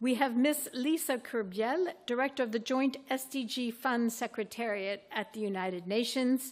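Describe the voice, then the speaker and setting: Here is a plain, everyday voice with ordinary pitch variation, moving at a moderate pace. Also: woman. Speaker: panel moderator. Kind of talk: panel moderation.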